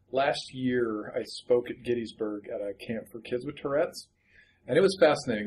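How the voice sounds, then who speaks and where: A man speaks in a normal speaking voice at medium pitch, with ordinary pitch variation and a moderate pace. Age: 30s. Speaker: librarian and memoir author. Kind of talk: interview.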